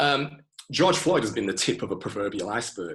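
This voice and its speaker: With a Manchester accent, a man speaks in a bright, sharp tone with lively intonation. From Manchester, England. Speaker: IT specialist and music historian. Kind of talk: interview answer.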